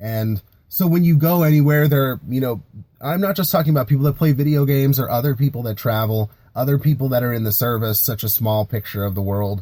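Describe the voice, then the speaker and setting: Talking at a very fast pace with an American accent, a man sounds somewhat breathy with a dark, mellow tone. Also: medium pitch for a man, ordinary pitch variation. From US, Philadelphia area, Pennsylvania. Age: 20s. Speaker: Navy veteran and startup founder. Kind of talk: podcast monologue. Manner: casual, with fillers and restarts.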